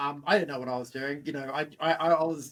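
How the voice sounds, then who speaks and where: Here a man with an Australian accent talks at a fairly quick pace. His pitch is fairly high and his intonation fairly even. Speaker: fitness entrepreneur. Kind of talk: interview.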